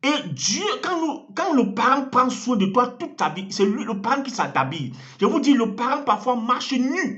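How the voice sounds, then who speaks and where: Extremely high-pitched, a man speaks at a fairly slow pace with lively intonation amid audible room echo. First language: an African language (speaking French). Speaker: evangelist. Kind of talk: sermon.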